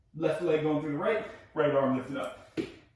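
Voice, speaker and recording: An American accent marks this man's fairly high voice, heard at a moderate pace with audible room echo. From US Northeast, New York area. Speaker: fitness coach. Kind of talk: workout class instruction.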